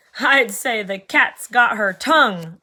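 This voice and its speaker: Using a put-on character voice, a woman projects a raised voice at a fairly high pitch, with lively intonation and a fairly slow pace. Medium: read story. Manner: huffy.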